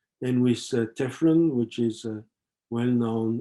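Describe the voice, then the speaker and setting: A man with a French accent speaks at a medium pitch in a dark, mellow tone. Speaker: professor. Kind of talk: lecture. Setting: webinar. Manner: halting, many fillers.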